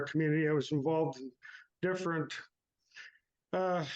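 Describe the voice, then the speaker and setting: With a Canadian Prairie accent, a man talks at a moderate pace. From Canadian Prairies, Saskatchewan. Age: 60s. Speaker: farmer. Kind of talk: interview about personal grief. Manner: halting, many fillers.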